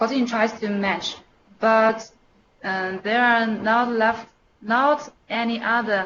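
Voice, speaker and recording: A woman at a very slow pace with a Chinese accent, fairly high pitch and fairly even intonation. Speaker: email developer. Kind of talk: internal technical presentation. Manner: halting.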